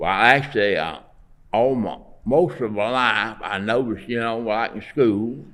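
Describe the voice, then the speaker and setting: This man, with a Southern US accent, talks at a fairly slow pace and a medium pitch with ordinary pitch variation. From Alabama. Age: 80s+. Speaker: artist; Navy veteran. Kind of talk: interview answer.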